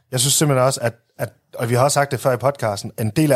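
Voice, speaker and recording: A man speaks in a somewhat breathy voice. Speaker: football podcast co-host. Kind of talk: casual chat. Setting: studio.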